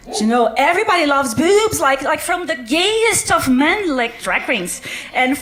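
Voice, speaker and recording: Over noticeable background noise, a woman with a Brazilian accent talks at an extremely high pitch. Her voice makes very wide pitch swings. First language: Portuguese. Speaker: doctor doing science comedy. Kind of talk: stand-up. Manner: halting, many fillers.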